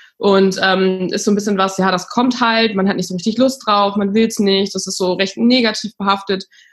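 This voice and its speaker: At a moderate pace and with hardly any pauses, a woman talks in an ordinary speaking voice at medium pitch with fairly even intonation. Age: 30s. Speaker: startup founder. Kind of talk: interview.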